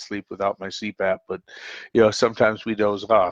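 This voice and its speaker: In an American accent, a man speaks at a fairly quick pace with a fairly low pitch and monotone, flat intonation, in a dry, close sound with no echo. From US Midwest, Minnesota (Twin Cities). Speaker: call-in show host. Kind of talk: casual monologue on live call-in show. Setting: live stream call-in show. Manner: halting, many fillers.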